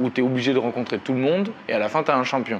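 Noticeable background noise sits behind a man talking at a very fast pace. His voice has a medium pitch. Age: 30s. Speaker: professional boxer. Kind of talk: interview.

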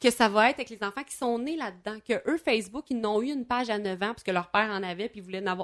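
A woman's very fast, fairly high voice in a Quebec accent, with hardly any pauses, ordinary pitch variation, big swings in loudness and a very clean recording with a silent background. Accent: Québécois French. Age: 30s. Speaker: former teacher and radio columnist. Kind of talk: casual chat.

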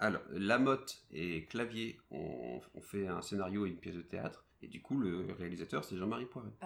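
This man talks at a moderate pace with hardly any pauses, his fairly low voice showing vocal fry, lively intonation and big swings in loudness. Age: 30s. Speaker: podcast host. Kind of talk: casual chat.

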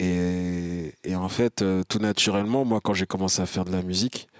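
A man talks at a fairly slow pace in a very deep, low pitch with fairly even intonation. The sound is dry and close with no echo, in a very clean recording with a silent background. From France, Val-d'Oise (Paris suburbs). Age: 30s. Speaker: rapper. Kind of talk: interview. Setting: concert venue. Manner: halting.

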